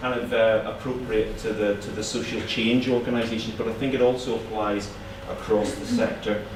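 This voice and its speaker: A man with a Northern Irish accent talks at a moderate pace. Audible room echo and noticeable background noise come through the recording. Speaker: charitable foundation funder. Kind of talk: conference talk. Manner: halting, many repetitions.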